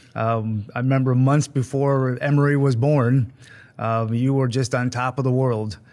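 Against a quiet background, a man with an American accent speaks at a medium pitch with fairly even intonation. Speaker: school superintendent, podcast host. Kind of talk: interview.

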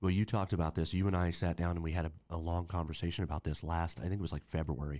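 A man with a very deep, low pitch, speaking with hardly any pauses. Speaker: podcast co-host. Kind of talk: casual chat.

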